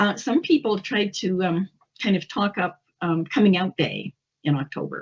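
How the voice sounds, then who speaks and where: Her voice is somewhat breathy and sits at a medium pitch for a woman. She moves at a moderate pace with ordinary pitch variation. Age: 70s. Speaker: English instructor. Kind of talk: interview.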